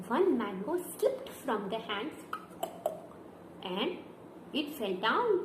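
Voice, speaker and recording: Noticeable background noise sits behind a woman with a high pitch. She talks at a very slow pace, her pitch swinging very widely. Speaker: storyteller. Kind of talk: children's story narration with puppets. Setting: home video with hand puppets and picture book. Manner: upbeat, enthusiastic.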